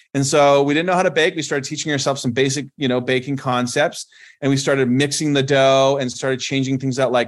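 A man with a Canadian accent has a plain, everyday voice at a fairly high pitch. He talks at a fairly quick pace over a quiet background. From Canada. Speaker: company founder and CEO. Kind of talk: interview.

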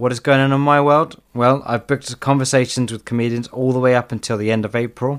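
A man's plain, everyday voice at medium pitch, fairly quick in pace with fairly even intonation, on a very clean recording with a silent background. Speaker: comedian and podcast host. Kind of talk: casual interview.

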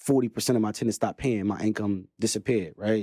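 A man's fairly low, dark and mellow voice holds a flat monotone, recorded dry and close with no echo. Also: very clean recording, silent background. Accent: Brooklyn. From Brooklyn, New York. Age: 30s. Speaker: real estate investor. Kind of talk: casual interview.

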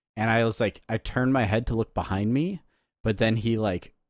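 With a very clean recording and silent background, a man with an unremarkable speaking voice talks at medium pitch and a moderate pace, the sound dry and close with no echo. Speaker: podcast host. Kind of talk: casual banter, comedic chat.

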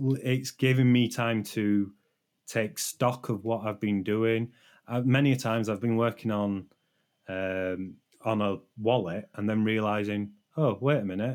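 A man with a British accent speaks at a fairly slow pace and a fairly low pitch, with fairly even intonation. The recording is very clean, with a silent background. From Britain. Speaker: software developer and stream moderator. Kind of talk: casual interview. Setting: live stream. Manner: understated, low emotion.

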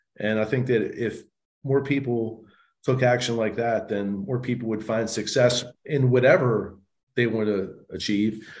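Audible room echo surrounds a man speaking at a fairly slow pace. He has a medium pitch and an American accent. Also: fairly even intonation. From US, Baltimore. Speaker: real estate investor and speaker. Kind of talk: interview, casual storytelling.

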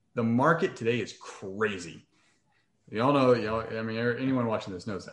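A man with a normal speaking voice talks at medium pitch and a moderate pace. His pitch variation is ordinary, with big swings in loudness. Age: 30s. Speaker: real estate investor. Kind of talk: interview.

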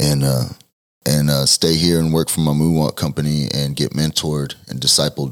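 Speaking at a moderate pace with long, frequent pauses, a man with a very deep, low voice and a Texan accent keeps a monotone, flat intonation. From Texas (Denton area). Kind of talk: testimony.

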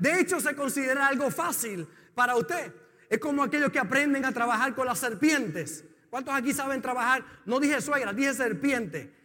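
At a moderate pace, a man speaks in an extremely high pitch with a raised, projected voice, a bright, sharp tone and lively intonation. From Puerto Rico. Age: 50s. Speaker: pastor. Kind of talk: sermon.

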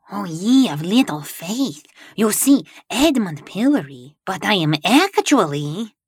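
A put-on character voice at a fairly slow pace, full of very wide pitch swings. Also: woman, medium pitch for a woman. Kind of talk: 1930s radio villain acting. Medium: audio drama. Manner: pompous, theatrical.

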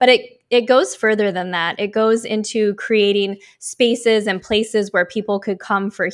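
A woman with an American accent has a plain, everyday voice and a fairly high pitch, speaking at a fairly slow pace. The recording is very clean, with a silent background. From US Pacific Northwest (Oregon). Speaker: life coach and speaker. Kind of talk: interview conversation.

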